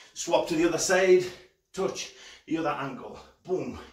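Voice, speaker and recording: A man's voice with audible room echo and a quiet background. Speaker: fitness coach. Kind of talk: workout instruction. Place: home room. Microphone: camera far.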